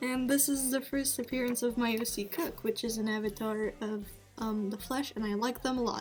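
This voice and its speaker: Over music in the background, a woman talks at a moderate pace in a high-pitched voice. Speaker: amateur artist, vlogger. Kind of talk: casual show-and-tell monologue. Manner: halting, many filler words.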